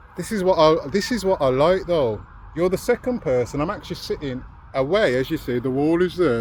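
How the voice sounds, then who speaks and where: Speaking at a very fast pace, a man with a Birmingham accent uses lively intonation. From Birmingham, England. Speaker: vlogger. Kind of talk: casual vlog chat. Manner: animated.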